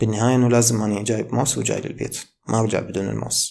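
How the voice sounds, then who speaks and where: A man speaks with an Iraqi accent. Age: 20s. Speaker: medical student and YouTuber; YouTuber. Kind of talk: motivational talk. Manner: casual. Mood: calm, reflective. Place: home room. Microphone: studio mic.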